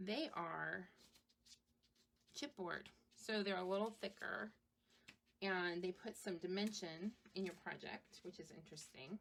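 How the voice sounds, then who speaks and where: The speech moves at a fairly slow pace with ordinary pitch variation. Long pauses come often. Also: woman, medium pitch for a woman. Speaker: craft shop owner and live streamer. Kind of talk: live stream craft demo. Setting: live stream. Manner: casual, hesitant with many ums.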